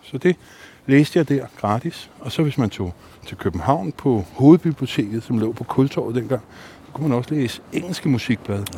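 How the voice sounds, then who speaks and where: In a plain, everyday voice, a man speaks at a moderate pace and medium pitch with lively intonation. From Denmark, North Zealand (Allerød). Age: 50s. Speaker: bassist and psychotherapist. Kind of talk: casual chat. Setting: outdoors.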